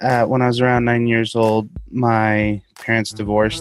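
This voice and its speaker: A man at a fairly slow pace and medium pitch, music in the background. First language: Spanish. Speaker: interviewee sharing personal story. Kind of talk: interview.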